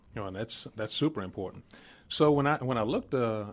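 A man with a normal speaking voice talks at a fairly quick pace with lively intonation. The recording is very clean, with a silent background. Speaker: radio host. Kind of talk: radio interview. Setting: studio.

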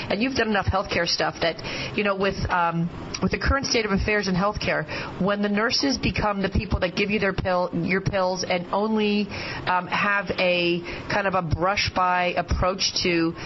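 Over noticeable background noise, a woman speaks at medium pitch and a moderate pace, her intonation fairly even and her loudness very even. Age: 50s. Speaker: surgeon and guest radio host. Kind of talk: radio interview. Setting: radio studio.

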